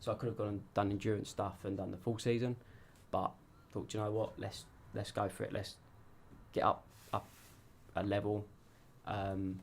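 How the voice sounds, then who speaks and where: A man with a fairly low pitch speaks at a moderate pace in a monotone, flat intonation. His somewhat breathy delivery has long, frequent pauses. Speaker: amateur racing driver. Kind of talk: interview. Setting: radio studio. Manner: casual, hesitant with fillers.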